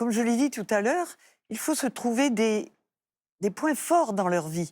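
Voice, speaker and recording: At a fairly slow pace, a woman's fairly high voice makes very wide pitch swings on a very clean recording with a silent background. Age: 80s+. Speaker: adventure motorcyclist. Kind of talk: talk show interview. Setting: TV studio with audience.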